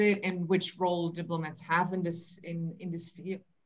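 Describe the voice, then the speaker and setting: Against a quiet background, a woman talks at a moderate pace in a somewhat breathy voice. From Austria. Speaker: cultural program director; conference panelist. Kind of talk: conference presentation; panel discussion answer. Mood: friendly, smiling. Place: home room. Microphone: webcam.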